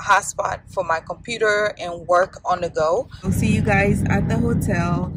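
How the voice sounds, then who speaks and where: A woman at a fairly slow pace, dry sound with no echo, against loud background noise. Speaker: travel vlogger. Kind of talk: casual vlog chat. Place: car. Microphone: phone near.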